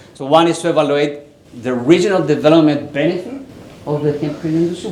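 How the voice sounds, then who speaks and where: A speaker with a Chilean accent is heard over noticeable background noise, with audible room echo. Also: man. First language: Spanish. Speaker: university professor, researcher. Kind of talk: conference presentation. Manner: some halting, repeated words.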